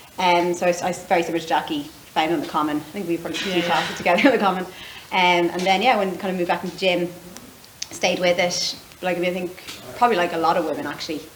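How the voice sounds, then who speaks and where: Speaking very fast in an Irish accent, a woman with a fairly low pitch keeps her intonation fairly even over noticeable background noise. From Ireland. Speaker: gym member. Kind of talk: casual chat.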